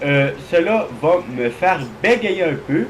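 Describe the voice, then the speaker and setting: This man's high pitch and lively intonation come through despite noticeable background noise. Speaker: gaming YouTuber. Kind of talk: gameplay commentary. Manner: halting.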